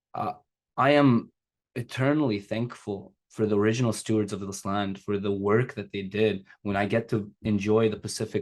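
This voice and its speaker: At a moderate pace, the speech holds a fairly even intonation. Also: man. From Kazakhstan, Uyghur, came to Canada 2003. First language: Uyghur or Russian; English is third language. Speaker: secondary educator and non-profit leader. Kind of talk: panel talk. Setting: video call.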